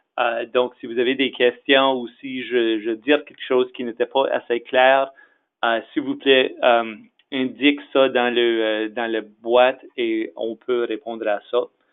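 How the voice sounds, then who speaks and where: A man with an English accent, very slow and in a monotone, flat intonation. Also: medium pitch for a man. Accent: English-speaker accent in French. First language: English (speaking French). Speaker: executive director of an association. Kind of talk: webinar presentation. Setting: webinar. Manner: halting, many fillers.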